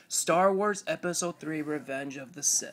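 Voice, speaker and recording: With noticeable background noise behind her, a woman speaks at a fairly low pitch with ordinary pitch variation. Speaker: YouTuber showing comic collection. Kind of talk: casual show-and-tell video. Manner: animated.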